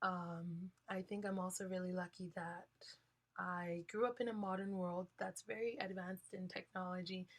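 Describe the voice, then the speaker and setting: Somewhat breathy, a woman talks at a medium pitch. Her pace is moderate and her intonation fairly even. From Hawaii, Kalihi (Oahu). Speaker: college student speaker. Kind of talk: guest talk in a class lecture. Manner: halting, many fillers.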